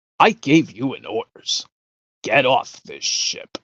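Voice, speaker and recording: A raspy, put-on character voice moves at a fairly slow pace in a dry, close sound with no echo. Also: man. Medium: game stream. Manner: curt, commanding.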